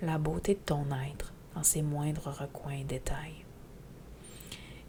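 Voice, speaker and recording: In a Quebec accent, the voice is dark and mellow, with monotone, flat intonation. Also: woman. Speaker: spiritual teacher podcaster. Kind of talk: podcast monologue. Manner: loud.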